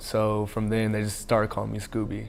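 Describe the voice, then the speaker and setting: A man with a fairly low pitch talks while noticeable background noise carries on. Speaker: college football player. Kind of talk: interview. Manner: halting.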